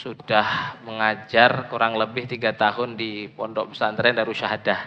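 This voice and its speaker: A man's medium-pitched voice, fairly slow and flat in a monotone. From Indonesia, Medan (North Sumatra). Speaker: Islamic preacher and teacher. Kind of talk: religious lecture. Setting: mosque.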